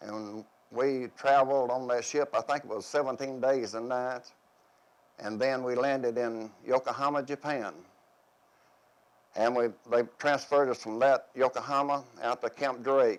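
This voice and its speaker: A man with a Tennessee accent at a medium pitch, moving at a moderate pace with fairly even intonation and long, frequent pauses. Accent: US Southern, Tennessee. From Tennessee, Van Buren County. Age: 70s. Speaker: war veteran. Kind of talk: oral history interview. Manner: halting.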